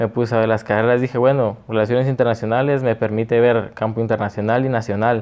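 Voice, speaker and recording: Delivered very fast with hardly any pauses, the voice keeps a very even loudness and monotone, flat intonation. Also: man, medium pitch for a man. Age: 20s. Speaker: political candidate; candidate. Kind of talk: interview. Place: studio. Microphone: lapel.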